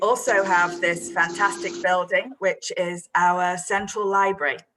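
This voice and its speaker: With an English accent, a woman speaks at a fairly slow pace and uses ordinary pitch variation. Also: medium pitch for a woman. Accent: English accent, own remark. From northern England, Manchester. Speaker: creative writing teacher. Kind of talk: online workshop for students. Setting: video call with screen share.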